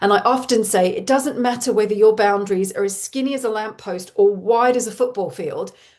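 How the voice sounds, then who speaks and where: Moderate pace and ordinary pitch movement in a fairly high female voice. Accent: Australian. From Australia. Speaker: parenting coach. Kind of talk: live webinar talk. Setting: online webinar with chat.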